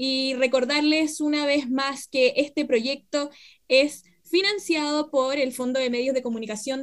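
A woman with a high-pitched voice speaks at a fairly slow pace. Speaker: radio host, historian. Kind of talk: radio interview.

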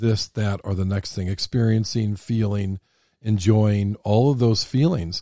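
Dry and close with no echo, this very clean recording has a silent background. A man talks fairly slowly in a fairly low pitch with a dark, mellow tone. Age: 60s. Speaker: podcast host. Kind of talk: casual chat. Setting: studio.

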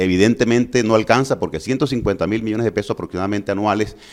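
A man talks in a plain, everyday voice at a fairly low pitch and a fairly quick pace. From Colombia, Valledupar (Cesar). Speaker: physician and mayoral candidate. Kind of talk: political interview.

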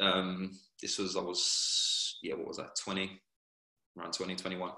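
The speaker is a man. He has an English accent. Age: 30s. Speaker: professional footballer. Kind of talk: casual interview.

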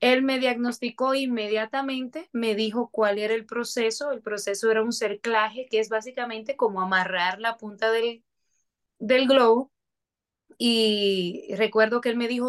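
Using a plain, everyday voice, a woman talks at a moderate pace with a fairly high pitch and fairly even intonation. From Dominican Republic, Moca. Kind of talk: testimony.

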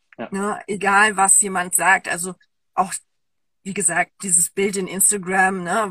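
With a bright, sharp tone and medium pitch, a woman speaks at a fairly slow pace in a monotone, flat intonation, leaving long, frequent pauses, in a dry, close sound with no echo. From Germany. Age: 30s. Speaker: women's coach. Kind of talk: interview. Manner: halting.

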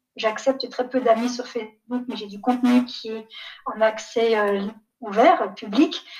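A woman talks at a fairly slow pace with a fairly high pitch and ordinary pitch variation. Her loudness swings widely. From Niger, raised partly in Canada, France, Belgium. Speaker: development executive. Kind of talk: interview. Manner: hesitant, many fillers.

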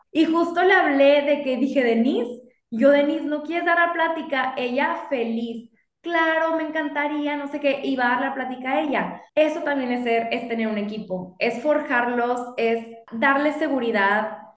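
Her voice sits high and moves through ordinary pitch variation at a moderate pace. The woman is heard with audible room echo. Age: 30s. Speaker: lawyer and business owner. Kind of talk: casual interview chat.

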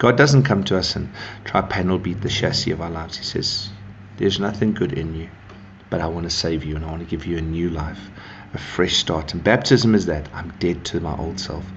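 A man with a very deep, low pitch and ordinary pitch variation, at a fairly quick pace, with audible room echo. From South Africa (northern Zululand). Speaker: pastor. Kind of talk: devotional talk. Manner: casual, warm.

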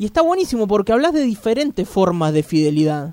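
A high-pitched man talks in a dry, close sound with no echo. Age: 30s. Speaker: radio host. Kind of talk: radio interview. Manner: animated.

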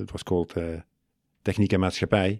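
In a Limburg accent, a man talks with monotone, flat intonation on a very clean recording with a silent background. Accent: Dutch-accented English, Limburg. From Netherlands, Limburg. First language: Dutch. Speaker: university study advisor. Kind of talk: casual interview. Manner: halting.

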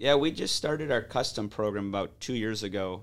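With an American accent and an unremarkable speaking voice, a man talks at a moderate pace in a fairly low pitch with ordinary pitch variation, on a very clean recording with a silent background. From Detroit east side, Michigan. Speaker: hockey business owner. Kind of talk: interview.

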